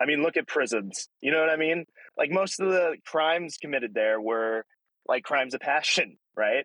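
A man's fairly high voice in an American accent, moderate in pace, with lively intonation, very even loudness, and a dry, close sound with no echo. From Alaska and various US states. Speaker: guest speaking about mental illness and addiction recovery. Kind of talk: personal testimony in casual chat. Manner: halting, many fillers.

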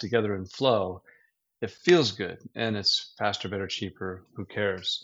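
A plain, everyday voice. It moves at a moderate pace with ordinary pitch variation. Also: man. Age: 50s. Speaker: business owner. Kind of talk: casual chat.

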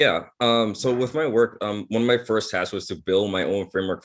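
Here a man speaks at a fairly quick pace. The recording is very clean, with a silent background. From Bahamas. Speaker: anti-racism policy advisor. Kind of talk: interview. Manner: halting.

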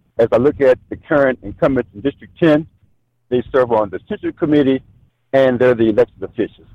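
This man's pitch sits fairly high, and his tone is dark and mellow. He speaks at a moderate pace in a dry, close sound with no echo. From Maryland. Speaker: political candidate, retired Marine. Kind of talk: interview.

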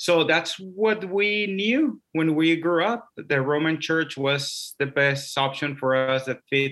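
With a Spanish accent, a man talks at a very slow pace in a fairly high pitch, his intonation lively, his loudness very even, and hardly any pauses in between. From Mexico (Mexicali, Baja California border). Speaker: Episcopal priest, ministry missioner. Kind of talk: conversational interview, personal testimony.

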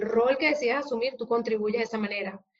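A woman speaks with fairly even intonation. Her pitch sits fairly high. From Venezuela. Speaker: psychologist and HR consultant. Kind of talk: interview.

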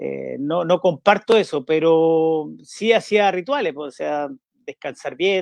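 Speaking very slowly at a high pitch, a man shows ordinary pitch variation and big swings in loudness, in a dry, close sound with no echo. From northern Chile (Vallenar, La Serena). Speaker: former footballer. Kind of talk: interview.

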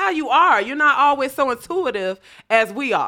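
A woman projects a raised, high-pitched voice with a bright, sharp tone. She sounds animated, her pitch swinging very widely. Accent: American. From North Chicago, Illinois. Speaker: comedian. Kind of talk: casual chat.

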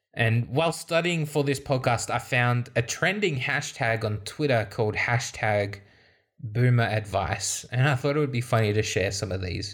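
A man with an Australian accent speaks at a moderate pace, his pitch medium and his voice somewhat breathy. The intonation is lively, and the recording is very clean with a silent background. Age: 20s. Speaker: podcast host. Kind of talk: solo podcast monologue.

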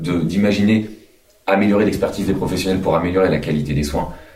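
There's audible room echo as a man talks at a fairly quick pace. His pitch is fairly low. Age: 30s. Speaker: physiotherapist and union president. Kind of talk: studio interview. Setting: live at a conference venue. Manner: halting, many repetitions.

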